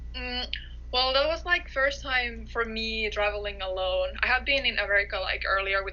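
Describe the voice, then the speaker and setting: A moderate pace amid noticeable background noise and audible room echo. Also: woman. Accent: Finnish. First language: Finnish. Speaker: college soccer player. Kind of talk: interview.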